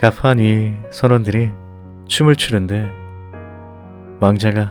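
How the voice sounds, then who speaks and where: There is music in the background. A man talks with a fairly low pitch and ordinary pitch variation. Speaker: audiobook narrator. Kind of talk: bedtime story audiobook reading. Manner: soft, calm, ASMR-style.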